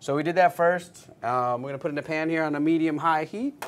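A man's fairly high, clear, smooth voice with an American accent, ordinary pitch variation and a fast pace

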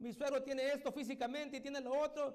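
A man is talking here. His pitch is extremely high and his pace very fast. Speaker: evangelical pastor. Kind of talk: sermon. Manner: stutters when preaching. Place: church. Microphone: handheld.

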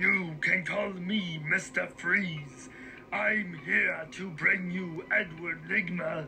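Against clear background noise, a high-pitched man talks at a very slow pace with ordinary pitch variation. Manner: cold, menacing.

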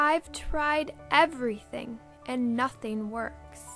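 A woman puts on a high-pitched character voice at a very slow pace. Music plays clearly in the background. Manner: quiet, discouraged.

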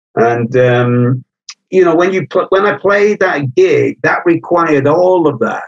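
A man with a Welsh accent talks at a fairly slow pace in a fairly high pitch with lively intonation. His loudness stays very even, and the sound is dry and close with no echo. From North Wales, Anglesey. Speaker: punk drummer. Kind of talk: interview conversation.

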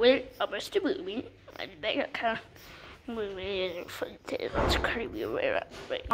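A female-sounding cartoonish character voice moves at a moderate pace against clear background noise. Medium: puppet show. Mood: goofy, playful.

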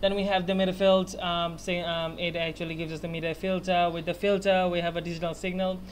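A man with a high pitch talks at a very fast pace in a flat monotone, with light background noise behind him. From Bangladesh. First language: Bengali. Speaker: university student. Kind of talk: class project presentation. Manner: halting, many fillers. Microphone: webcam.

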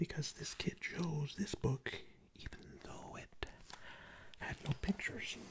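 Against noticeable background noise, a soft-spoken man whispers. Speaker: streamer reading a book aloud. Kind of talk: read-aloud performance with asides. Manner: soft close-mic ASMR whisper. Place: home room. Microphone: studio mic.

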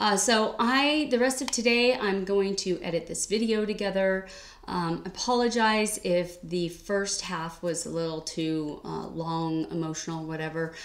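A woman with a medium pitch and lively intonation speaks at a fairly slow pace, with hardly any pauses. Audible room echo surrounds her voice. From California. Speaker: cross-stitch YouTuber. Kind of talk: casual vlog chat. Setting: home sewing room. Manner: casual with many fillers. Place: home room. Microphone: webcam.

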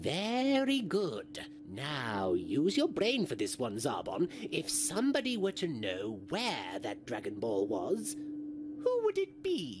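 A man's voice at a fairly slow pace, with clear background noise. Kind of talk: comic parody voice acting. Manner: smug, sarcastic, coldly condescending.

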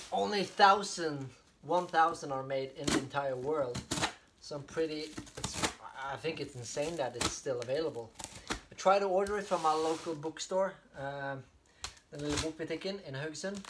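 At a moderate pace, a man talks with long, frequent pauses over noticeable background noise. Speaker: unboxing vlogger. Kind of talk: casual vlog chat. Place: home room. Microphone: camera far.

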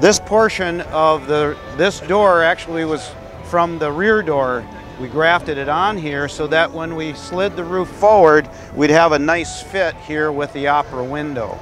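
Over clear music in the background, a man speaks at a fairly slow pace with ordinary pitch variation, the sound dry with no echo. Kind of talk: explanatory walkaround. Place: stadium.

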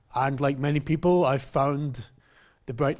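Very slow pace, fairly even intonation, quiet background. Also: man. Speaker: mature student; speaker, English teacher. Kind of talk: academic presentation. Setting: stage with audience. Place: classroom. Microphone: handheld.

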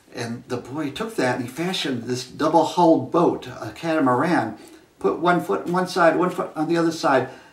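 A man with ordinary pitch variation, audible room echo and light background noise. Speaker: origami storyteller. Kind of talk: storytelling. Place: home room. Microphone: camera far.

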